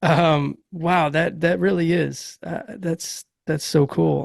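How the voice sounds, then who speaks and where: This man speaks at a very slow pace with a Massachusetts accent. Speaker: podcast host. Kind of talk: interview.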